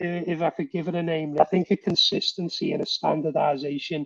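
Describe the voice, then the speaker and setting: In a dry, close sound with no echo, a man with a high pitch talks at a fairly quick pace with ordinary pitch variation. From northern England, Liverpool. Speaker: workforce management professional. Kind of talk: podcast interview.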